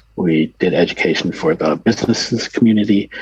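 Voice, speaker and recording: A man with an American accent, his fairly low pitch moving with ordinary variation, in a relaxed, calm tone. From US Midwest. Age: 60s. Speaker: adult content creator. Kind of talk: casual interview.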